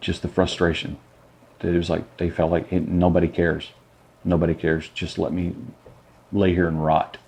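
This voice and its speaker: A man with an American accent, a very deep, low pitch and fairly even intonation at a fairly quick pace. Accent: southern US redneck. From Arkansas. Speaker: nurse. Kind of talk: interview testimony. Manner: hesitant with fillers.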